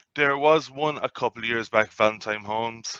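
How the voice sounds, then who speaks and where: In an Irish accent, a man talks at a very fast pace with fairly even intonation, the sound dry and close with no echo. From Ireland, County Cork. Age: 30s. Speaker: sports betting tipster. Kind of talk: casual interview.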